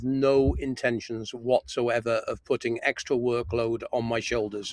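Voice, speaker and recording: Speaking at a fairly slow pace with a British accent, a man keeps his medium pitch in fairly even intonation. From UK. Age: 60s. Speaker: appliance repair engineer. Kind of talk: live stream Q&A. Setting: in a parked camper van.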